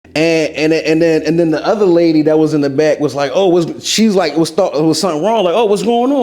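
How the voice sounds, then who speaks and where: Speaking with lively intonation and an animated tone, a man is heard in audible room echo amid noticeable background noise. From Philadelphia. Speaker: TV host and rapper. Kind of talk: interview, casual chat.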